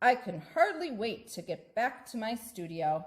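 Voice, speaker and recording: A woman's put-on character voice, fairly high in pitch, with big swings in loudness. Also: moderate pace. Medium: read story. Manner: warm, enthusiastic.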